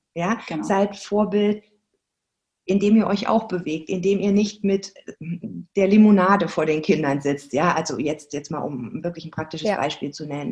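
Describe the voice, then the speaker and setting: A woman speaks at a medium pitch and moderate pace, with ordinary pitch variation. She has a plain, everyday voice. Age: 40s. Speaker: movement educator for children. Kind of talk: interview.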